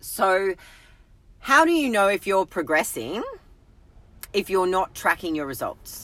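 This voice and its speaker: An animated woman with an Australian accent speaks at a moderate pace in a bright, sharp tone, her medium pitch swinging very widely. The recording is very clean, with a silent background. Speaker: health and fitness coach. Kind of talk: live stream talk. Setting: in a car.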